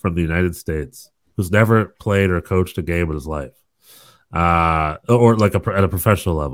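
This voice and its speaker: Here a man speaks with lively intonation at a moderate speed. The background is silent and the recording very clean. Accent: American. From US South. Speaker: soccer podcast co-host. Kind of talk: casual chat. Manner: animated.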